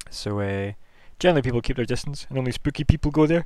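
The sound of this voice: A man speaks at a fast pace and medium pitch. His tone is dark and mellow, with lively intonation.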